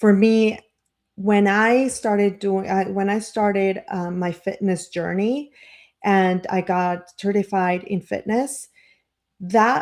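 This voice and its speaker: A woman with a non-native accent speaks at a very slow pace, her medium pitch following fairly even intonation. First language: not English. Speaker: life coach and marketer. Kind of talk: motivational live stream talk. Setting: live stream. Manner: halting, many fillers and restarts.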